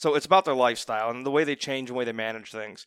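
A man with an American accent and a normal speaking voice, fairly high in pitch with ordinary pitch variation, in a very clean, dry, close recording with no echo and a silent background. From Northeast Ohio. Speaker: financial advisor. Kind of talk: casual chat.

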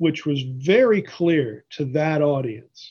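In an American accent, a man speaks at a fairly slow pace with a fairly high pitch and ordinary pitch variation, an ordinary speaking voice. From Pennsylvania, US. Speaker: biblical scholar. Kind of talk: interview.

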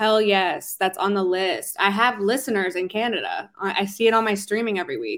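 In an ordinary speaking voice with an American accent, the speaker goes at a moderate pace with hardly any pauses and fairly even intonation. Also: woman, medium pitch for a woman. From Philadelphia, US. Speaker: R&B singer-songwriter. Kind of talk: interview.

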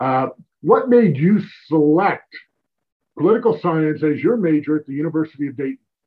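A man with a fairly high pitch speaks with big swings in loudness. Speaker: podcast host. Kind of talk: podcast interview. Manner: polished, formal.

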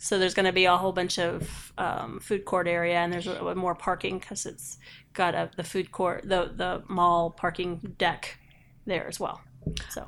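The voice has vocal fry and monotone, flat intonation at a moderate pace. The recording is very clean with a silent background. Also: woman, fairly low pitch for a woman. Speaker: podcast co-host.

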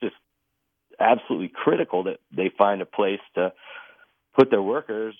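Delivered at a moderate pace, this is an ordinary speaking voice. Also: man. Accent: American. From Texas. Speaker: newspaper reporter. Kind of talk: interview. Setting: phone call.

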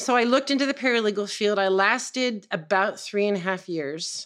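On a very clean recording with a silent background, a woman with an American accent speaks at medium pitch with ordinary pitch variation in an unremarkable speaking voice. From US West Coast, San Francisco. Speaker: psychic and energy healer. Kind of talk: casual interview chat.

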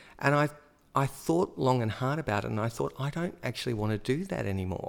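With vocal fry and ordinary pitch variation, a man with an Australian accent speaks on a very clean recording with a silent background. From Australia, Melbourne. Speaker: high school drama teacher. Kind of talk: casual chat.

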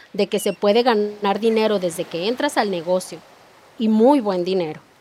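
A woman's voice over noticeable background noise. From Mexico. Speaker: network marketing entrepreneur. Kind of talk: interview.

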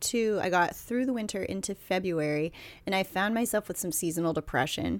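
On a very clean recording with a silent background, a woman speaks at medium pitch in an ordinary speaking voice, with ordinary pitch variation. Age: 30s. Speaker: podcast co-host. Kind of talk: casual chat. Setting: home recording, in a bed.

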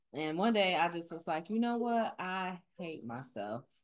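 This woman has an unremarkable speaking voice, fairly low in pitch, with lively intonation at a fairly slow pace. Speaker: podcast host. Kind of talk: casual podcast conversation.

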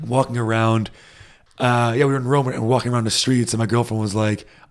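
This man has medium pitch, fairly even intonation and a plain, everyday voice, on a very clean recording with a silent background. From United States. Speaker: podcast co-host. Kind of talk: casual chat.

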